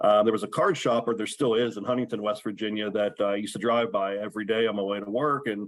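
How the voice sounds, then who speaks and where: Speaking with an American accent, a man goes at a very fast pace with hardly any pauses. His fairly low voice stays monotone and flat. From western Maryland. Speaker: sports card collector. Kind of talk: podcast interview.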